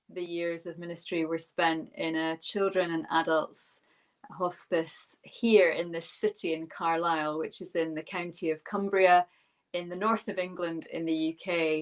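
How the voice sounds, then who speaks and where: In a Scottish accent, a woman speaks with a fairly low pitch and ordinary pitch variation. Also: fairly slow pace. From Scotland. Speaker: minister and yoga teacher. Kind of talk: webinar talk.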